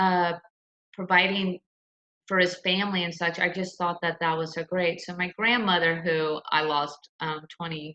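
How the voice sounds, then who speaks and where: A woman with an American accent speaks at a moderate pace in a fairly low pitch. Her tone is bright and sharp, her intonation monotone and flat. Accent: slight Southern accent, comes out sometimes. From US South, Lakeland, Florida (Polk County). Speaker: attorney. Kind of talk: interview. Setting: video call from home.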